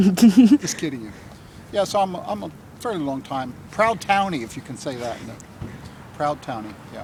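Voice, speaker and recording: Pitched fairly high, a man talks at a moderate pace with very wide pitch swings. Long pauses come often. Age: 70s. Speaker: campaign volunteer. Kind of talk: interview.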